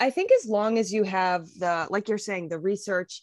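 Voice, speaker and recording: A woman's voice at a moderate pace, dry with no echo, over a quiet background. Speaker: podcast co-host. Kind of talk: casual interview chat. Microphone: video call.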